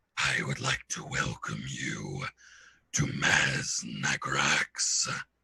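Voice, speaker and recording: A man growls through a put-on character voice that sounds strained. His pace is very slow. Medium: actual play. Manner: calm, measured.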